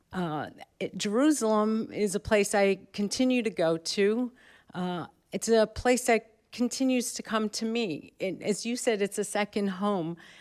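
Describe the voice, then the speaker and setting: A woman with a New York accent and fairly high pitch, with ordinary pitch variation at a fairly slow pace, on a very clean recording with a silent background. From New York, Brooklyn. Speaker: professor. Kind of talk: panel talk. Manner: halting.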